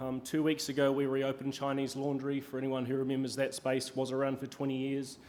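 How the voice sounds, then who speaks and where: With a New Zealand accent, a man talks at a fairly quick pace and a medium pitch, and audible room echo can be heard. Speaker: hospitality executive, keynote speaker. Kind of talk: conference keynote talk. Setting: stage with audience. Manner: many filler ums, hesitant.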